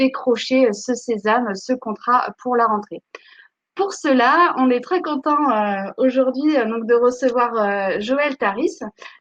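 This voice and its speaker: A woman at a very slow pace, her high pitch showing ordinary variation. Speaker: webinar host for a school. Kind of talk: live webinar introduction. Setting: online live stream. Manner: hesitant, many fillers.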